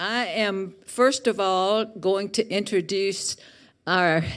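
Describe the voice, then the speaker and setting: In a very clean recording, the background is silent. The woman's voice sits at a medium pitch. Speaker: residents association president chairing meeting. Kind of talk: chairing a meeting.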